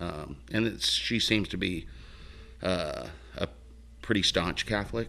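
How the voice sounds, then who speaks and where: With an American accent, a man speaks at a very deep, low pitch, his bright, sharp tone carrying vocal fry and very wide pitch swings. His pace is fairly slow, broken by long, frequent pauses. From Oregon, Mill City. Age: 50s. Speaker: guest. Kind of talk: casual chat.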